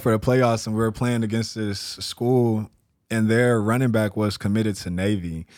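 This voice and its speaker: A plain, everyday voice with an American accent. The intonation is fairly even and the pace moderate. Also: man. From Texas, San Antonio. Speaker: entrepreneur, vintage clothing store owner. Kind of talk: casual chat.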